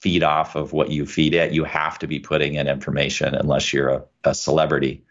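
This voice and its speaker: Very deep and low, a man's voice moves at a fairly quick pace with vocal fry. His intonation stays monotone and flat. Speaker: lawyer and podcast host. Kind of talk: casual interview.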